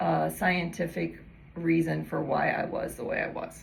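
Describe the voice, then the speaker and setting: With audible room echo around her, a woman talks very slowly. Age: 60s. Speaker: fascia educator. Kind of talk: casual talk to camera. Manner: conversational with filler words.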